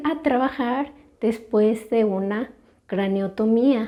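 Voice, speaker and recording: A soft-spoken woman talks at a very slow pace with ordinary pitch variation. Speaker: stroke survivor, channel host. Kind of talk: testimony, answering questions.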